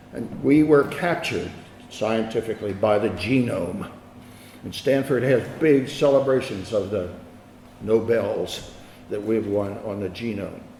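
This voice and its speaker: With an American accent, a man talks at a fairly slow pace. His pitch is medium with ordinary variation, over noticeable background noise. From Philadelphia, USA. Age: 80s+. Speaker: physician and professor of medicine. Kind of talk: academic lecture.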